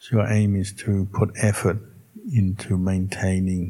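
Speaking at a fairly slow pace, a man sounds somewhat breathy. His intonation stays monotone and flat. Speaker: Buddhist monk leading meditation. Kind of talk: guided meditation. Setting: in a room with a live audience. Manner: slow, calm and unhurried, with gentle instructions.

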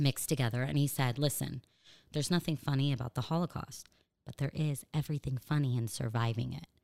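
A woman's very deep, low voice in an American accent, very fast and with fairly even intonation. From US, Los Angeles. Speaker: stand-up comedian. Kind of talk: casual interview chat. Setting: studio, across a table.

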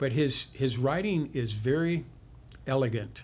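His voice carries some breathiness. The man talks at a moderate pace, his pitch varying in an ordinary way. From US Midwest, small town Illinois. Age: 70s. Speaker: learning advisor, retired school psychologist, war veteran. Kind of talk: casual interview conversation. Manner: halting with many fillers and repetitions.

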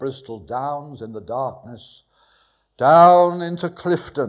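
Here a man speaks with a southern English accent and ordinary pitch variation. The recording is very clean, with a silent background. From southwest London, England. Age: 70s. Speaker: pastor. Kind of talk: testimony. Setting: church. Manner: animated.

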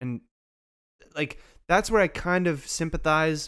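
A man at a moderate pace with ordinary pitch variation. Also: very clean recording, silent background. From Canada (Montreal area). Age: 30s. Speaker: podcast co-host. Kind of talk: casual chat.

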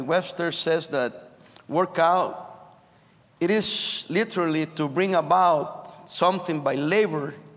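A high male voice, its pitch varying in an ordinary way. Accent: Spanish. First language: Spanish. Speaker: pastor. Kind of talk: sermon. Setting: chapel service.

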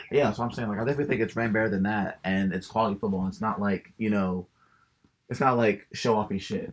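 A man with a fairly low pitch talks at a very fast pace, his intonation fairly even. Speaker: podcast co-host. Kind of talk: casual chat.

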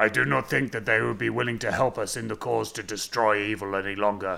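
This is a raspy, put-on character voice. It moves at a fairly quick pace. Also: man, medium pitch for a man. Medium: read story. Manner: formal, stilted phrasing.

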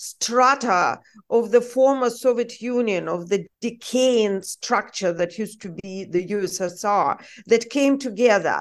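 A woman with a Russian accent speaks at a fairly slow pace with ordinary pitch variation against a quiet background. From Russia (Saint Petersburg). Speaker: journalist. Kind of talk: interview.

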